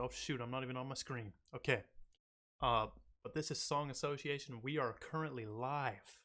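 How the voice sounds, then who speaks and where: With long, frequent pauses, a man speaks at a moderate pace in a bright, sharp tone, his medium pitch varying in an ordinary way. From Canada. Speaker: streamer reacting to music videos. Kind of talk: casual livestream chat. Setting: livestream.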